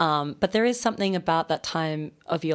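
On a very clean recording over a silent background, a woman speaks at a fairly quick pace. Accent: Australian. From Australia, Sydney. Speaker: novelist. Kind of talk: radio interview. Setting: radio studio.

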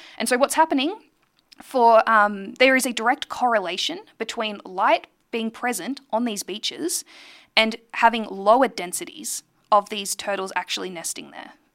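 A woman with an Australian accent, fairly high in pitch, lively intonation, big swings in loudness and a moderate pace, on a very clean recording with a silent background and a dry, close sound with no echo. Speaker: radio host and astronomer. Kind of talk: radio talk show monologue.

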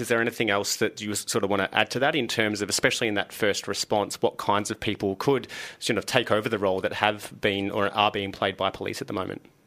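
A man with a fairly low pitch and a bright, sharp tone talks at a very fast pace with hardly any pauses. The recording is very clean, with a silent background. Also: ordinary pitch variation. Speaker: radio host. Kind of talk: radio interview. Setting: studio.

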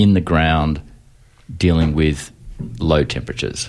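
A man speaks with an Australian accent. He keeps a moderate pace. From Melbourne, Australia. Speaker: urban agriculture researcher and lecturer. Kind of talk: radio interview. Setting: radio studio.

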